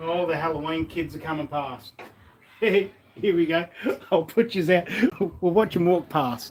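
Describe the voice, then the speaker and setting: A man's high-pitched voice at a moderate pace, with ordinary pitch variation, long, frequent pauses and noticeable background noise. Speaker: live streamer cooking. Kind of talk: casual live stream chat. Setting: workshop at home. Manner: quiet; halting.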